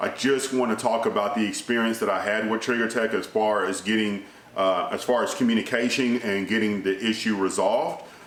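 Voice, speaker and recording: A man speaks fairly quickly at a medium pitch, monotone and flat, with very even loudness and hardly any pauses. Audible room echo and noticeable background noise fill the recording. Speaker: gun channel vlogger. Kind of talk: casual vlog monologue. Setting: indoors. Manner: naturally loud, kept down here; filler-heavy conversational. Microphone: speaking softer to avoid echo.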